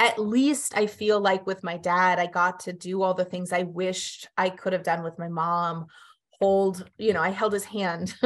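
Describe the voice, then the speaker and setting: A woman has an ordinary speaking voice at medium pitch. She keeps a moderate pace over a quiet background. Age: 40s. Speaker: grief center executive director. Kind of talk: interview.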